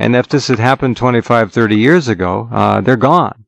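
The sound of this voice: A man talks at a moderate pace with a medium pitch, ordinary pitch variation and some vocal fry.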